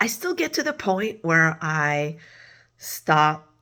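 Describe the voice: A woman does a put-on character voice that is hoarse and raspy, pitched very deep and low, and she speaks at a very slow pace.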